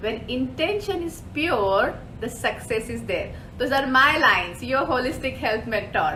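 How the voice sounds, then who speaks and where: A speaker with a non-native accent uses lively intonation amid audible room echo. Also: woman. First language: not English. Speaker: holistic health mentor. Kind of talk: live show presentation. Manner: animated.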